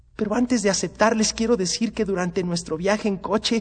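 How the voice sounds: The clip presents a natural reading voice.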